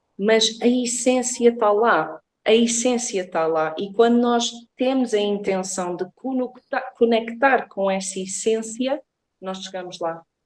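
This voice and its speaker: Someone speaks at a very slow pace with an English accent. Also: woman, fairly high pitch for a woman, ordinary pitch variation. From Portugal, born in England. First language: English (speaking Portuguese). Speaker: reiki therapist. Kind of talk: interview. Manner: halting.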